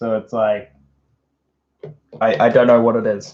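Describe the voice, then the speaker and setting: An Australian accent at a fairly slow pace. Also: man. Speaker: streamer. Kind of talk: casual livestream talk. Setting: livestream. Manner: halting.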